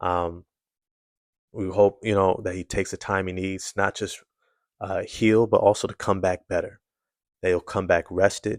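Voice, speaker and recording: Against a quiet background, a man with fairly low pitch speaks in a monotone, flat intonation, leaving long, frequent pauses. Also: moderate pace, dry, close sound with no echo. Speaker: sports commentator. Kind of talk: video commentary. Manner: subdued, low energy.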